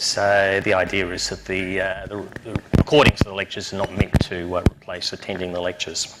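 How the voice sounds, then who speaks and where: Over noticeable background noise, a man with a very deep, low voice speaks at a fairly quick pace in a monotone, flat intonation with hardly any pauses. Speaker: university lecturer. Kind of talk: lecture. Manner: halting, many fillers.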